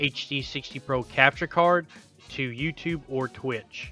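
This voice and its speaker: Music plays in the background as a man speaks at a medium pitch. His pace is fairly slow and his intonation fairly even. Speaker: gaming streamer. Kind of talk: tech tutorial voice-over. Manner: monotone at times.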